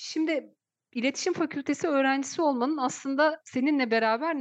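Against a quiet background, a woman with a high pitch speaks at a moderate pace. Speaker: university lecturer and podcast host. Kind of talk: interview; show intro and outro.

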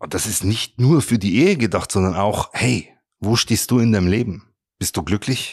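The voice moves at a moderate pace with an animated tone and ordinary pitch variation. The recording is very clean, with a silent background. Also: man, fairly low pitch for a man. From Bavaria, Germany (Regensburg). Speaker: rabbi. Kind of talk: motivational talk.

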